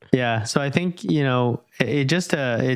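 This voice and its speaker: There is noticeable background noise in this clip. A man talks at a medium pitch with lively intonation. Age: 30s. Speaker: podcast host. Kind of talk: casual interview chat.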